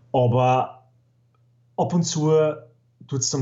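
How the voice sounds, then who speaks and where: Somewhat breathy, a man with an Upper Austrian accent speaks at a fairly slow pace with fairly even intonation. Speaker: podcast guest, gaming enthusiast. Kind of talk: casual chat.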